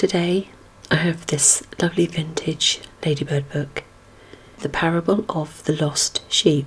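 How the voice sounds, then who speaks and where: Soft-spoken and fairly slow, the speaker leaves long, frequent pauses. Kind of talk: casual talk to camera.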